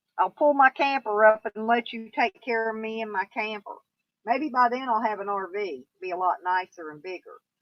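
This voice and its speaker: Fairly high-pitched, a woman with a Southern US accent speaks with big swings in loudness. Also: lively intonation, moderate pace. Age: 60s. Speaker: YouTuber. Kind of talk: live stream chat. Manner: casual, rambling pace with fillers.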